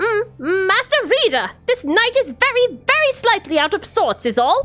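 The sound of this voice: Over faint background music, a put-on character voice delivers its lines at a moderate pace. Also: woman.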